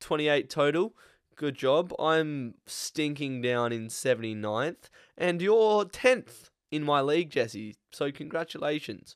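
A man with an Australian accent speaks at a fairly high pitch and a fairly slow pace. His intonation is lively, and the recording is very clean with a silent background. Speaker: AFL podcast host. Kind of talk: casual sports chat.

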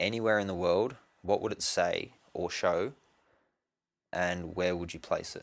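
With an Australian accent, a man speaks at a fairly slow pace, taking long, frequent pauses. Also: very clean recording, silent background. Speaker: podcast host. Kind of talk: casual interview.

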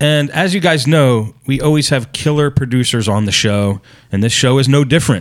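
A man's ordinary speaking voice at medium pitch and a moderate pace, with ordinary pitch variation and very even loudness. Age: 40s. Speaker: podcast host. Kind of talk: interview.

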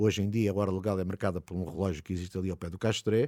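On a very clean recording with a silent background, a man talks at a very fast pace. The sound is dry and close, with no echo. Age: 60s. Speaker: podcast host and city guide. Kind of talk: narrated walking tour.

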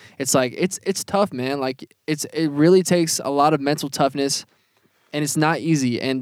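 This man has a normal speaking voice, fairly high in pitch, with fairly even intonation and a fairly quick pace. The sound is dry and close, with no echo. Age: 20s. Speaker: podcast co-host and music artist. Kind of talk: casual chat. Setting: inside an RV.

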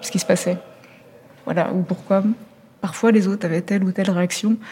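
A woman speaks at medium pitch with fairly even intonation. Noticeable background noise can be heard. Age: 40s. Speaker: journalist. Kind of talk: interview. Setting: theatre lobby. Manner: halting.

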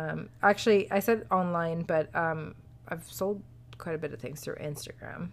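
Here is a woman with an ordinary speaking voice, fairly low in pitch with ordinary pitch variation, at a moderate pace. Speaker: podcast co-host. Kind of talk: casual chat. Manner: laughs often.

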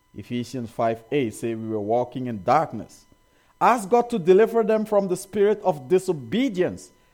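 Music plays in the background as a man speaks with very wide pitch swings. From Africa, rural village. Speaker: pastor. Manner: warm, earnest preaching with rhetorical questions to the congregation; occasional hesitations and repeated words.

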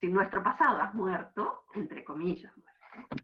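At a very slow pace, a woman speaks at a medium pitch. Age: 50s. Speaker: university history lecturer. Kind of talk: lecture.

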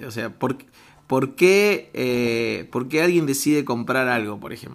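A man of medium pitch speaks at a fairly slow pace with lively intonation. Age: 30s. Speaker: comedian and improv performer. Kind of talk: casual chat. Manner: halting.

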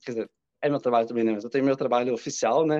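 A man's dark, mellow voice with ordinary pitch variation, dry and close with no echo. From Brazil, Curitiba. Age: 30s. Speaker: social media creator. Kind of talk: casual chat.

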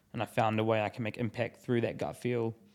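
Talking at a very fast pace, a man with a New Zealand accent and a medium pitch is heard on a very clean recording with a silent background. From New Zealand (Taranaki, Christchurch). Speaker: business founder. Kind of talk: casual chat. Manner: casual, filler-heavy.

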